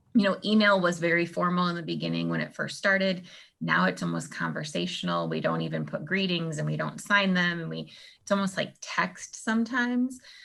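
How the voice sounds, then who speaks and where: Audible room echo surrounds a woman speaking at a fairly quick pace. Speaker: university faculty member and seminar presenter. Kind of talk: online business seminar lecture. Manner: fast.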